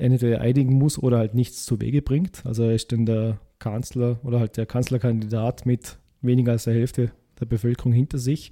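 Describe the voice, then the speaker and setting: Delivered at a fairly quick pace, a man's dark, mellow voice sits at a medium pitch with monotone, flat intonation, in a dry, close sound with no echo. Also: very clean recording, silent background. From Vorarlberg, Austria. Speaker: podcast co-host. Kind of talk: casual political discussion.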